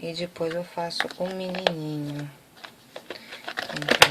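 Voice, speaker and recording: A soft-spoken woman's very deep, low voice, monotone and flat at a very slow pace, with noticeable background noise. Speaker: craft tutorial maker. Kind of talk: tutorial.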